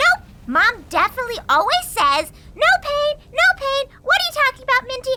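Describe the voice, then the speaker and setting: In a put-on character voice, a woman talks at a moderate pace with an extremely high pitch. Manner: upbeat, bubbly.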